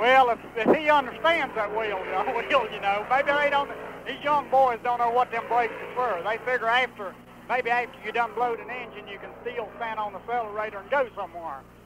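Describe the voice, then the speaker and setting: Noticeable background noise surrounds a man speaking in an extremely high pitch with a Southern US accent. His loudness swings widely. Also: ordinary pitch variation. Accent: Southern drawl. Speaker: race car driver. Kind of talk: interview answer. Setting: racetrack. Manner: humorous.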